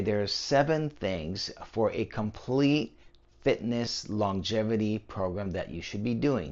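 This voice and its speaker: Here is a man with an ordinary speaking voice. His pitch is fairly low, with ordinary pitch variation. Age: 60s. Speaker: personal trainer, fitness channel host. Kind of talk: talking-head fitness explainer. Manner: casual, conversational with fillers.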